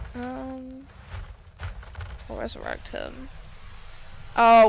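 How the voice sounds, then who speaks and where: Long, frequent pauses break up the speech. The voice is quiet. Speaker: streamer. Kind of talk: live gameplay commentary.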